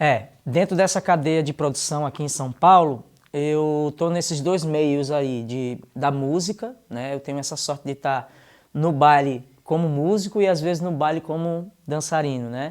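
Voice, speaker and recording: A man's normal speaking voice, fairly high in pitch with ordinary pitch variation, at a fairly slow pace on a very clean recording with a silent background. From Recife, Pernambuco, Brazil. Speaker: dancer and musician. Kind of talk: interview. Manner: casual.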